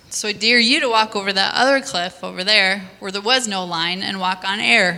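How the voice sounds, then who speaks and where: A woman's medium-pitched voice with ordinary pitch variation, a moderate pace and noticeable background noise. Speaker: nurse. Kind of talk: testimony. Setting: church stage with audience.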